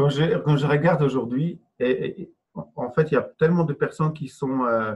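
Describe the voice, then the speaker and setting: A somewhat breathy voice with a non-native accent, ordinary pitch variation and a moderate pace. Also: man, fairly high pitch for a man. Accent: foreign accent in French. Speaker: entrepreneur and online trainer. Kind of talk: interview. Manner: halting.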